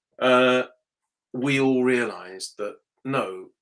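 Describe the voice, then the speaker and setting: A man speaks with an English accent. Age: 60s. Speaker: motorsport journalist. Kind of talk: interview.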